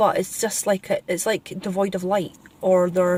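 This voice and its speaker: This woman has a Scottish accent. The sound is dry and close, with no echo. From Scotland. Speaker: spiritual vlogger. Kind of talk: casual vlog monologue. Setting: in a car, driving.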